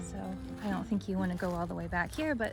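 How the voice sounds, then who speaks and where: A woman with an American accent at a fairly quick pace, music in the background. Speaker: lifestyle blogger. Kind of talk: casual home tour talk to camera.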